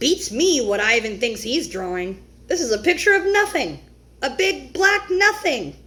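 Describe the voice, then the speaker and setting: Putting on a character voice, a woman speaks high-pitched at a moderate pace, her pitch swinging very widely. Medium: read story. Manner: blunt, dismissive.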